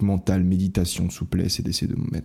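Soft-spoken man with a very deep, low pitch and dark, mellow tone, moderate pace, ordinary pitch variation, very clean recording with a silent background. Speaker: podcast host. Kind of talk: casual monologue.

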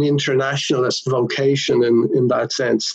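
A man with a fairly high voice keeps a moderate pace while noticeable background noise carries on behind him. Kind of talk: interview.

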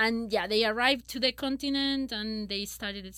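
Speaking at a moderate pace in a Spanish accent, a woman uses a fairly high pitch with ordinary pitch variation. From Chile. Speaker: paleoecologist. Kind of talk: interview.

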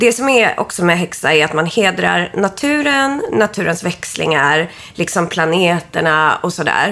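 A woman speaks at a moderate pace with lively intonation and a medium pitch. Noticeable background noise can be heard. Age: 30s. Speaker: witch and astrology reader. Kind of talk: astrology reading; casual chat.

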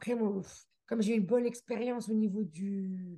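Her voice sits fairly high, with a dark, mellow tone and a somewhat breathy quality. This woman speaks at a moderate pace with ordinary pitch variation. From France, near the Swiss border (Haute-Savoie). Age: 40s. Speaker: immigrant guest sharing her story. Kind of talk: casual interview.

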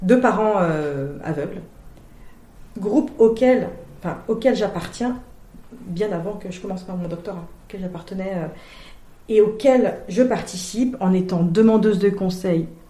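A woman speaks at medium pitch with ordinary pitch variation and long, frequent pauses. Audible room echo and noticeable background noise surround her. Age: 30s. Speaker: sociology doctoral student. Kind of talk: interview. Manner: hesitant, many fillers and repetitions.

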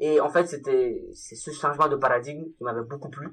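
A man's bright, sharp voice, fairly high in pitch, with fairly even intonation at a moderate pace. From Mali. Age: 20s. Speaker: freelance mobile developer. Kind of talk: casual interview.

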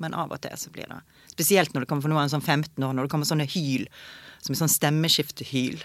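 A woman's very deep, low voice at a fairly quick pace, with fairly even intonation, on a very clean recording with a silent background. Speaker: actress. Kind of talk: casual chat.

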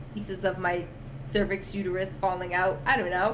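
Over noticeable background noise and audible room echo, a woman talks at a moderate pace in a medium pitch. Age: 30s. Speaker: podcast host and NICU mom. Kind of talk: personal testimony in casual chat. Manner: animated.

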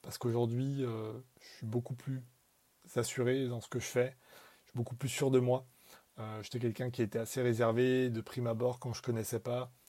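A man's medium-pitched voice, dark and mellow in tone, flat and monotone, with long, frequent pauses. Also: moderate pace. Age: 20s. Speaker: marketing professional. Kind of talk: recorded voice message testimony.

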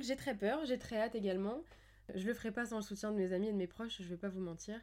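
A woman speaks with a dark, mellow tone at a fairly high pitch. Her intonation is lively. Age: 20s. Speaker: podcast host. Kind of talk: solo monologue, casual. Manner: hesitant, with many fillers.

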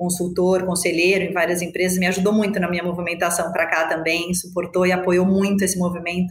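The woman's voice sits at a medium pitch, and some room echo can be heard. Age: 40s. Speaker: business executive. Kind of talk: interview.

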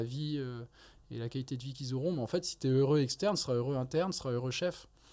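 Very fast and medium in pitch, a man speaks in a dark, mellow tone. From France. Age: 30s. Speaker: neurosurgeon and anatomy lecturer. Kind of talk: casual interview.

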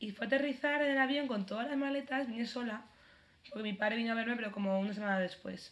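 Talking at a very fast pace, a woman has a fairly high pitch with ordinary variation. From Spain. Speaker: podcast co-host. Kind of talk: casual chat.

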